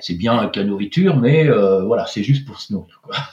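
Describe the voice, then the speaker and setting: Over noticeable background noise, a man talks at a moderate pace with a medium pitch and lively intonation. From France, Pays de la Loire (Angers). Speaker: French expatriate in Norway. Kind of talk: casual interview chat. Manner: hesitant, many repetitions and fillers.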